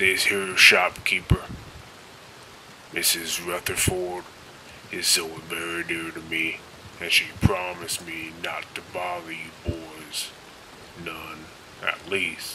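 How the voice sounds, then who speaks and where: Over clear background noise, a man puts on a character voice with a very deep, low pitch and a fairly slow pace. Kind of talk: western-style voice acting of famous movie and game lines. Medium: voice reel. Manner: menacing, threatening.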